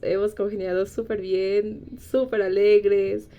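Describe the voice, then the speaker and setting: This woman talks at a fairly slow pace. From Bolivia. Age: 20s. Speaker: biochemistry graduate. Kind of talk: casual interview chat.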